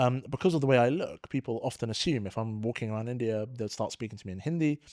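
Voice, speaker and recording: Speaking at a very fast pace, a man with a London accent uses a medium pitch and ordinary pitch variation, the sound dry and close with no echo. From London, England. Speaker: podcast host, tax adviser. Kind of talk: interview conversation.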